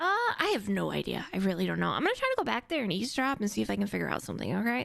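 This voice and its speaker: Over noticeable background noise, a woman speaks very fast at very even loudness. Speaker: streamer playing an EMS character in a roleplay game. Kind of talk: in-character roleplay chat. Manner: halting, many fillers.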